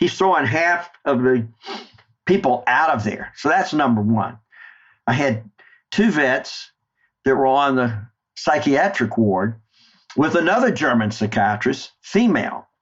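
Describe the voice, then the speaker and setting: With a Southern US accent, a man of medium pitch talks fairly slowly with long, frequent pauses, lively intonation and very even loudness. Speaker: war veteran. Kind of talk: interview storytelling.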